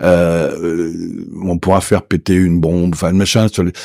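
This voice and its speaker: A man's dark, mellow tone comes through dry with no echo against a quiet background. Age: 70s. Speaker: Paris secondhand bookseller. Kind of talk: interview. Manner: animated. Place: studio. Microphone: studio mic.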